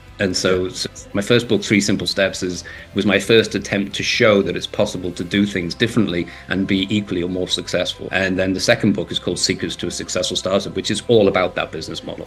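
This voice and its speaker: Music plays behind a man with a Liverpool accent and a fairly low pitch. He talks very fast with fairly even intonation. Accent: Scouse. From northern England, Liverpool. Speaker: entrepreneur and author. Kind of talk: interview.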